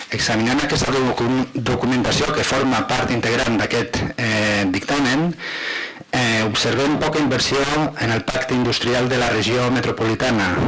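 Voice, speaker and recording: A man speaks at a fairly slow pace with a medium pitch and fairly even intonation, over noticeable background noise. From Catalonia. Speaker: provincial councillor. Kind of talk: council debate. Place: hall. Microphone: podium.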